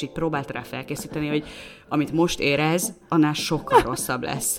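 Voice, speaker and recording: A woman with a very deep, low pitch talks fairly quickly, keeping her intonation fairly even. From Hungary, Szolnok. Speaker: podcast co-host. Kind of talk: casual chat.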